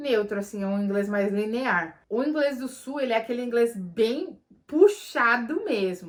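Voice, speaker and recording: The speaker is a woman. Clear background noise can be heard. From Brazil, São Paulo. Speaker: vlogger. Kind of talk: Q&A vlog. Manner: animated.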